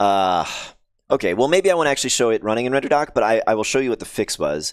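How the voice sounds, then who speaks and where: Talking at a very fast pace with very wide pitch swings and very even loudness, a man is heard in a very clean recording with a silent background. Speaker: game developer streamer. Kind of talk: live coding stream. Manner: halting.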